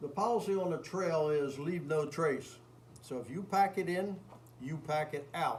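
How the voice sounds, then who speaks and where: Noticeable background noise sits behind the voice. A man speaks fairly slowly at a fairly high pitch with ordinary pitch variation. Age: 70s. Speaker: hiker. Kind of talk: public presentation. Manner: casual, conversational.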